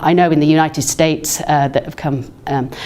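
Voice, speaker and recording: Noticeable background noise runs under a woman's voice. She talks at a fairly quick pace with fairly even intonation. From England. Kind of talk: recorded talk. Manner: halting, many fillers.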